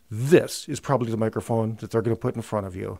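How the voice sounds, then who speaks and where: The speaker is a man. The background is quiet. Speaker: audio gear reviewer. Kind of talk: tutorial. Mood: enthusiastic, slightly tongue-in-cheek. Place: studio. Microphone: studio mic.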